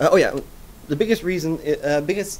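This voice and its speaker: Speaking at a very fast pace with ordinary pitch variation, a man with a Dutch accent is heard with audible room echo. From Netherlands. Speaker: software developer. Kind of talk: conference talk. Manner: hesitant, many fillers.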